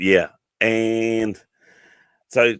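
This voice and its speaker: With a New Zealand accent, a man speaks at a fairly low pitch in a bright, sharp tone, in a very clean recording with a silent background and a dry, close sound with no echo. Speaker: podcast host. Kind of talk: casual chat. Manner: fast.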